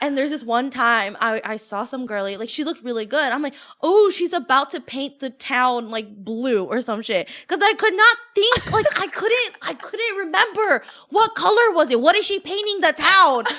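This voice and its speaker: A woman projects a raised, high-pitched voice with a bright, sharp tone, very wide pitch swings and a moderate pace, in an American accent. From United States. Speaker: podcast co-host. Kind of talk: casual chat.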